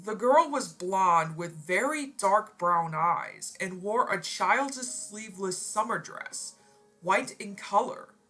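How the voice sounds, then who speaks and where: With music in the background, a woman speaks very slowly at a medium pitch, her intonation lively and her loudness swinging widely. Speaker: story narrator. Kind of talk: reading aloud.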